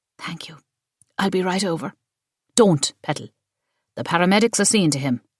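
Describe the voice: It is plain reading aloud. Little can be heard behind the voice.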